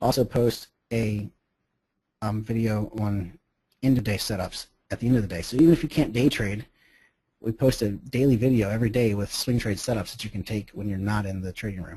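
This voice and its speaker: A man's very fast, somewhat breathy delivery at a medium pitch, dark and mellow in tone, with fairly even intonation. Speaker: professional trader. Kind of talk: webinar presentation.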